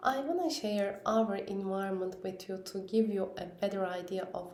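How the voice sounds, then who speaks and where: Amid audible room echo, a woman with a Turkish accent speaks in a dark, mellow tone. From Turkey. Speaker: parent vlogger. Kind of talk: personal vlog talk. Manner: halting, with fillers.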